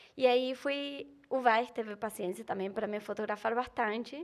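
A woman speaks with an Argentine accent. Her pitch is fairly high. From Argentina. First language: Spanish (speaking Portuguese). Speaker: content creator. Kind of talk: casual chat.

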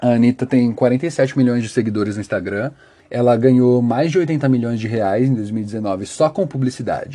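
A man with a Brazilian accent, medium pitch, a dark, mellow tone, ordinary pitch variation and a moderate pace. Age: 20s. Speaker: podcast host. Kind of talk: solo commentary podcast. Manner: talkative.

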